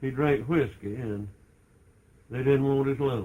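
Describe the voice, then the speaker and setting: Speaking at a very slow pace, a man talks with an American accent. His voice is somewhat breathy. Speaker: grandfather telling family church history. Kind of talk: casual storytelling, oral history recollection.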